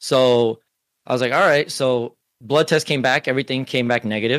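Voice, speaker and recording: Speaking in a normal speaking voice at medium pitch, a man talks at a fairly quick pace in a very clean, dry, close recording with no echo and a silent background. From US, Cuban-American family. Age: 30s. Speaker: streamer and security manager. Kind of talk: casual chat.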